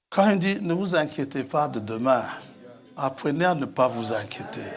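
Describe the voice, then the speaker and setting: Over music in the background and audible room echo, a man speaks at a very slow pace with a fairly high pitch and lively intonation. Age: 60s. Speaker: preacher. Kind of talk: sermon.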